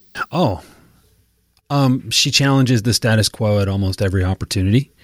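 A man in a normal speaking voice, fairly quick, with ordinary pitch variation. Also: very clean recording, silent background. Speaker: sales trainer and podcaster. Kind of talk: casual banter interview.

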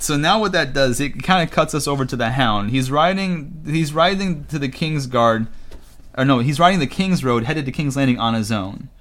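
Fairly high in pitch, a man speaks in an animated tone with lively intonation at a moderate pace. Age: 20s. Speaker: podcast co-host. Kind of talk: casual chat.

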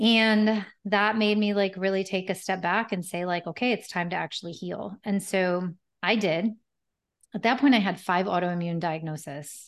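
A woman's medium-pitched voice, fairly even in intonation and moderate in pace, against a quiet background. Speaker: holistic health practitioner and yoga teacher. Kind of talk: interview. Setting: video call. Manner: calm.

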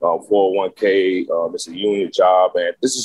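The sound is dry and close, without any echo. The speaker is a man. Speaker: former inmate and program graduate. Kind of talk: testimony.

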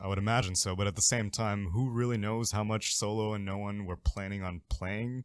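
A man's normal speaking voice, fairly low and fairly evenly intoned, at a fairly quick pace with hardly any pauses, on a very clean recording with a silent background. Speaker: esports caster guest. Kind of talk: casual chat.

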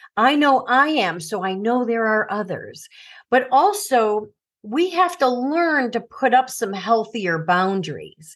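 Against a quiet background, a woman with an American accent speaks at a fairly slow pace. Her high voice swings very widely in pitch. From US Midwest, Chicago suburbs. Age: 60s. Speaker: author and former teacher. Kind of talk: interview about personal trauma.

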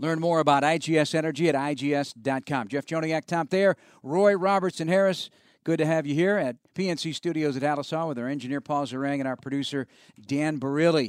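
Against a quiet background, a man speaks in an upbeat, enthusiastic tone at a fairly quick pace with ordinary pitch variation and a dry, close sound with no echo. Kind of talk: radio DJ patter: polished sports-radio host intros, sponsor reads and sign-offs.

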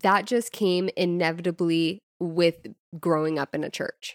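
In a very clean recording with a silent background and a dry, close sound with no echo, a woman speaks at a medium pitch in a normal speaking voice. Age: 20s. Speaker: podcast co-host. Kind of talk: casual chat.

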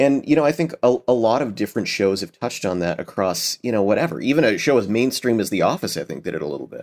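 On a very clean recording with a silent background, a medium-pitched man with an American accent and vocal fry talks at a very fast pace with very wide pitch swings and hardly any pauses. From United States. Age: 30s. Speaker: voice actor. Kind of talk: casual interview chat.

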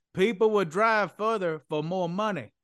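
Against a quiet background, a man in a Southern US accent speaks at a moderate pace with ordinary pitch variation. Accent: Southern, drops the g's. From Mississippi, US South. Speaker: economic development consultant, company co-founder. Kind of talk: casual interview.

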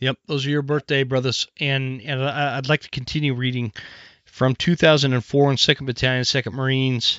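A man at a medium pitch, monotone and flat in intonation. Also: moderate pace. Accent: American. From US Northwest. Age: 40s. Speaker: podcast host. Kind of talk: casual interview chat. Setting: studio. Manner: casual, profane.

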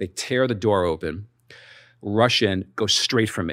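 A man with a New York accent speaks at a fairly low pitch. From New York (Brooklyn and Staten Island). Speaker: crypto industry executive. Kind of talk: interview storytelling. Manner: hesitant, many fillers.

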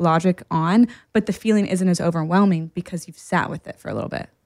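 A woman speaks at a fairly quick pace in a normal speaking voice, medium in pitch, with ordinary pitch variation, on a very clean recording with a silent background. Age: 30s. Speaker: podcast co-host, therapist. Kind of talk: casual chat.

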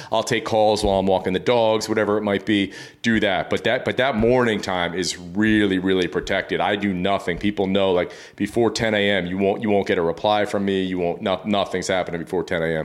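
Fairly low in pitch, a man talks at a fairly quick pace with hardly any pauses and very even loudness. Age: 40s. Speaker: fitness coach and podcast host. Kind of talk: casual interview. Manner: animated.

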